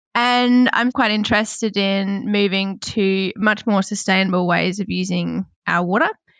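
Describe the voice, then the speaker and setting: A woman with an Australian accent, medium in pitch, with fairly even intonation and hardly any pauses. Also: moderate pace. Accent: Australian twang. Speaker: water management engineer. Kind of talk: podcast discussion.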